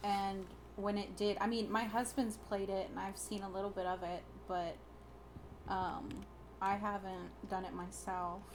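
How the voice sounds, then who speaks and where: Monotone, flat delivery at a fairly slow pace, with long, frequent pauses and audible room echo. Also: woman, medium pitch for a woman. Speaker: video game streamer. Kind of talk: gameplay commentary. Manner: halting.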